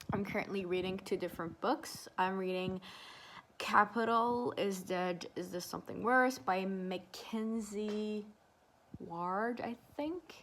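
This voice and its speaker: Speech comes at a very slow pace with ordinary pitch variation. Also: woman. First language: not English. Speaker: vlogger. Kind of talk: casual vlog chat.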